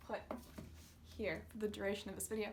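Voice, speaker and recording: Through audible room echo and noticeable background noise, a woman speaks at a very fast pace. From North America. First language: Russian. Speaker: booktuber. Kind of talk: casual vlog talk.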